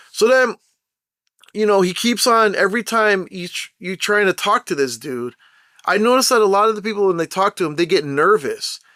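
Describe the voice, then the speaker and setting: In a very clean recording with a silent background and a dry, close sound with no echo, a man talks at a moderate pace in a high pitch. His raised, projected voice has an animated tone and lively intonation. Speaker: commentary vlogger. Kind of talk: opinion monologue. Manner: loud.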